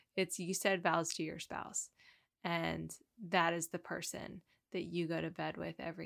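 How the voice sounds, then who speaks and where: Vocal fry runs through this woman's voice. She speaks at a moderate pace with fairly low pitch. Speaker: podcast host. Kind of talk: casual chat.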